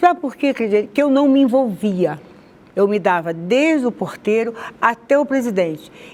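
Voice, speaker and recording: Over noticeable background noise, a woman talks at a moderate pace in a fairly high voice that makes very wide pitch swings. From Rio de Janeiro, Brazil (Madureira). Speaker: conversion testimony guest. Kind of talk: testimony interview.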